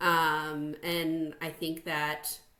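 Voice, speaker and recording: A woman speaks with a slight Chicago accent at a very deep, low pitch. Noticeable background noise can be heard. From US Midwest, Chicago North Shore suburbs. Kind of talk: interview.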